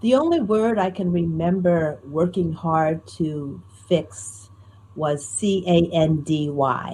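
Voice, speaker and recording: Speaking at a very slow pace with an American accent, a woman sounds somewhat breathy, her fairly low pitch carrying a dark, mellow tone and lively intonation. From US Northeast, Newark, New Jersey. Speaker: storyteller. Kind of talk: interview conversation. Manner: clear, trained speaking.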